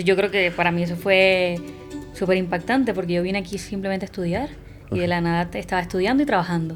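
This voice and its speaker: Against music in the background, a woman speaks at a fairly low pitch. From Puerto Rico. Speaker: actress. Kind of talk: podcast interview answer.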